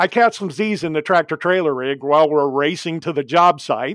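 A man with an American accent at a moderate pace, ordinary pitch variation, dry close sound with no echo, and a quiet background. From US Midwest (Ohio). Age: 60s. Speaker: safety speaker, former excavator and accident survivor. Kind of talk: testimony.

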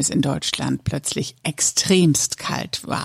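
A woman speaks at a very slow pace in a very deep, low voice. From northern Lower Saxony, Germany. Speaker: podcast host. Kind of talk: casual chat.

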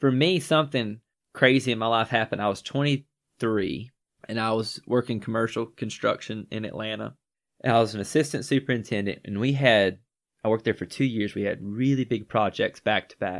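A man with a Southern US accent at a medium pitch and fairly quick pace, with big swings in loudness. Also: ordinary pitch variation. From Northwest Georgia. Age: 20s. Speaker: podcast host. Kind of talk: casual chat.

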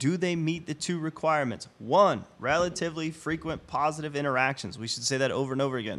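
Talking at a very fast pace with hardly any pauses, a man uses a fairly high pitch, an animated tone and ordinary pitch variation. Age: 40s. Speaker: podcast co-host. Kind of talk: casual chat.

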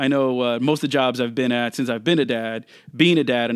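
Talking at a fairly quick pace, a man has a plain, everyday voice of medium pitch with ordinary pitch variation. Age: 40s. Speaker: podcast host. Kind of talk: casual monologue. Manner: casual, with filler words.

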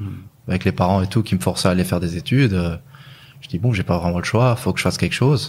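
At a very fast pace, a man talks in a very deep, low voice with ordinary pitch variation. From Luxembourg. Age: 20s. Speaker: e-commerce entrepreneur. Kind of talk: casual chat. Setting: at the hosts' home.

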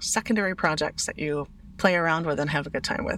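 A woman in a plain, everyday voice speaks at a fairly quick pace with a fairly low pitch. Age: 40s. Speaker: podcast host, craft business owner. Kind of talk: casual solo monologue.

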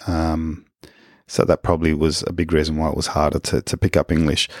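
A man with an Australian accent and a very deep, low pitch, at a fairly quick pace, in a dry, close sound with no echo and a very clean recording over a silent background. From Australia, Wollongong area (NSW). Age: middle-aged. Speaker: podcast host. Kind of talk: personal monologue. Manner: halting, frequent repetitions.

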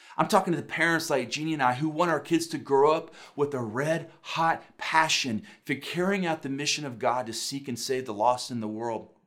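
Audible room echo surrounds a man's voice. He speaks at a moderate pace with ordinary pitch variation. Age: 40s. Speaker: pastor. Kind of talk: sermon.

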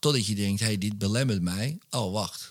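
This man has an unremarkable speaking voice, fairly low in pitch with ordinary pitch variation. He talks at a moderate pace on a very clean recording with a silent background. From Netherlands, Wormerveer (North Holland). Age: 40s. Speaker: hypnotist and author. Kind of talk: casual interview chat. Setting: his home man cave.

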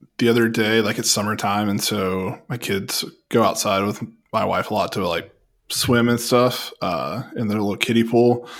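A man uses an ordinary speaking voice at a medium pitch. His intonation is fairly even and his pace moderate. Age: 30s. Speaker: podcast host. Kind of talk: casual chat.

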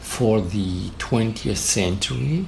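A voice with a German accent comes through audible room echo and noticeable background noise. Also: man. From Austria. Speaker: conceptual artist and art professor. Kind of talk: interview soundbite.

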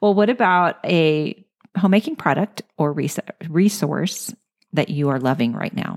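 At a fairly slow pace, a woman with a fairly low voice and lively intonation has an unremarkable speaking voice, recorded dry and close with no echo. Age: 50s. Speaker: podcast host. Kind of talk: interview. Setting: in-person interview.

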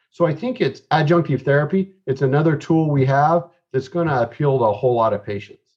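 Speaking at a fairly quick pace, a man has a fairly high pitch with ordinary pitch variation. His voice is somewhat breathy. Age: 40s. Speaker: eye doctor. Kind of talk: casual interview.

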